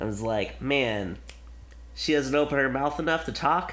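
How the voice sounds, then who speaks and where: A man mumbling, with audible room echo. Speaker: film podcast host. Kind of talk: casual chat. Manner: animated.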